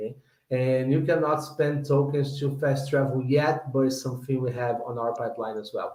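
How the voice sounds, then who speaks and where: With a non-native accent, a man speaks in a fairly high pitch and flat, monotone intonation amid audible room echo. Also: moderate pace. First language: not English. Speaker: game developer. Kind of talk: product Q&A on livestream. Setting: online livestream. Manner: halting, repeating words.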